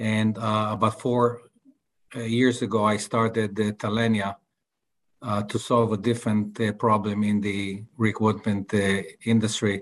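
A man with an Israeli accent speaks at a fairly low pitch and a fairly slow pace, with monotone, flat intonation. Long, frequent pauses break up his speech against a quiet background. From Tel Aviv, Israel. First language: Hebrew. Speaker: tech entrepreneur. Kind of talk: interview.

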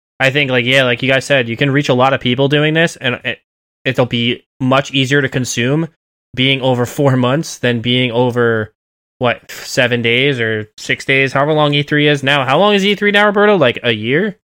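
In a normal speaking voice, a man talks at a moderate pace and medium pitch, with ordinary pitch variation and very even loudness. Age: 30s. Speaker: gaming podcast co-host. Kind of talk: casual chat.

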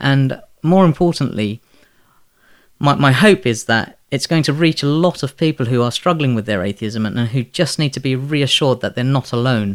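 In a London accent, a man speaks at a moderate pace with medium pitch and ordinary pitch variation. The recording is very clean with a silent background, and the sound is dry and close with no echo. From London, Elephant and Castle. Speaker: author and physics teacher. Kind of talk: interview. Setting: at his home.

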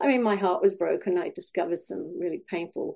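She speaks with a Welsh accent. The voice is a woman's. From Wales. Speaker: life coach. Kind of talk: interview.

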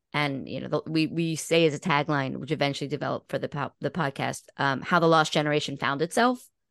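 Speaking very fast with hardly any pauses, a woman uses a very deep, low pitch with vocal fry. Her pitch varies in an ordinary way over a quiet background. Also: dry, close sound with no echo. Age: 50s. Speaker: podcast host and guest. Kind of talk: casual interview conversation.

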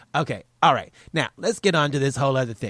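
An animated man with a Southern US accent, medium in pitch and fairly quick in pace, in a very clean recording with a silent background and a dry, close sound with no echo. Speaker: podcast host. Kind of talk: casual chat. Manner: rambling.

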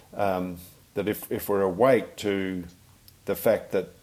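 A man's dark, mellow voice with an Australian accent at a fairly slow pace. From Western Australia. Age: 60s. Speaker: family physician. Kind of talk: interview conversation. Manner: halting.

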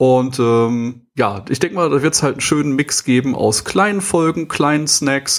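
A plain, everyday voice from a man, medium in pitch, moving at a moderate pace with ordinary pitch variation. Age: 30s. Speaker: podcast host, sales professional. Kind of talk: casual chat.

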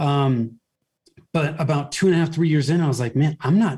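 With an American accent, a man speaks in a fairly high, somewhat breathy voice with ordinary pitch variation. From US, Northern California (Bay Area). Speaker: marketing agency owner. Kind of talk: interview.

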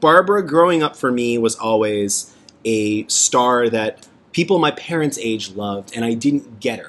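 A man speaks at a moderate pace and medium pitch in a plain, everyday voice. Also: lively intonation, big swings in loudness. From Canada, Toronto. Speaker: podcast host. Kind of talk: casual chat.

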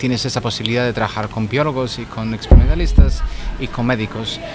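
Noticeable background noise surrounds a man speaking at a very fast pace with a Spanish accent. His pitch is medium, with ordinary variation. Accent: Spanish (Spain). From Spain. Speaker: podcast host and scientist. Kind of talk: casual chat. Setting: pub.

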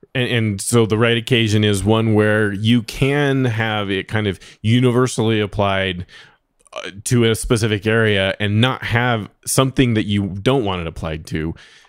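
Heard in a very clean recording with a silent background, a man with an unremarkable speaking voice talks at a fairly low pitch and a moderate pace with fairly even intonation. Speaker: podcast host. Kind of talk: casual interview chat.

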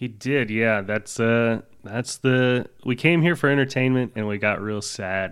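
A man with an American accent and an unremarkable speaking voice talks fairly slowly at a medium pitch, with ordinary pitch variation and hardly any pauses. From US South. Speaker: podcast co-host. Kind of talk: casual chat.

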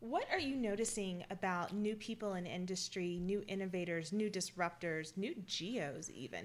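Here is a woman with a Southern US accent. Her pitch sits in the medium range. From US South. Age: 30s. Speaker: podcast host and reservoir engineer. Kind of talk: casual interview. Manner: animated.

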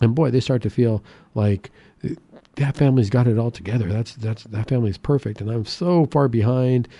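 A man's medium-pitched voice, dark and mellow in tone, with ordinary pitch variation, a fairly quick pace and a dry, close sound with no echo. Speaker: radio host and psychiatrist. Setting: radio studio. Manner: friendly, upbeat, conversational with filler words and seasonal cheer.

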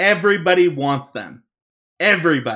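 A man speaks with a Utah accent and a bright, sharp tone. His pitch varies in an ordinary way. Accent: Utah American. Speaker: podcast host. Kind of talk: casual chat.

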